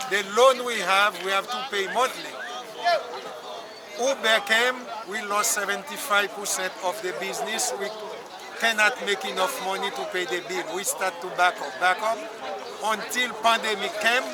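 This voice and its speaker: A man uses a raised, projected voice at a high pitch, with ordinary pitch variation and a moderate pace broken by long, frequent pauses. Audible room echo and crowd noise in the background fill the recording. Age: 70s. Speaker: taxi driver at a protest. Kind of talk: street interview. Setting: outdoors at a protest. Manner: halting.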